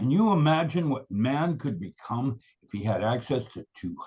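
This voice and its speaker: At a moderate pace, a man with a medium pitch and a somewhat breathy voice talks with very wide pitch swings. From Philippines. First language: Tagalog. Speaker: paranormal researcher. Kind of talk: interview. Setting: live video show.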